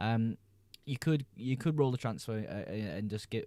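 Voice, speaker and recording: Here a man talks at a moderate pace with a fairly low pitch. His tone is dark and mellow, with lively intonation. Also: very clean recording, silent background. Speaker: fantasy football streamer. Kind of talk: live stream chat. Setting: live stream. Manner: casual, hesitant with fillers.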